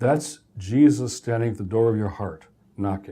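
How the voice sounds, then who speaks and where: A man speaks with an American accent at a moderate pace. His tone is dark and mellow. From US Midwest, Detroit, Michigan. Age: 60s. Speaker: professor. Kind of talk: lecture.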